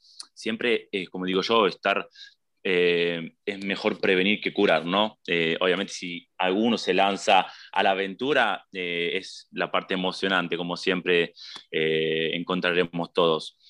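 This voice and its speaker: In a Rioplatense accent, a man with a very deep, low pitch speaks fairly slowly and with fairly even intonation against a quiet background. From Buenos Aires, Argentina. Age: 20s. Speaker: emigrant interviewee. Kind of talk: casual interview. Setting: video call. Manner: halting.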